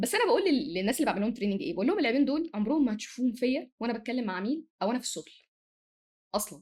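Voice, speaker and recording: A woman speaks at a very fast pace. Her high-pitched voice swings very widely in pitch. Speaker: manager and corporate trainer. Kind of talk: podcast interview. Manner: sometimes fast; sometimes loud.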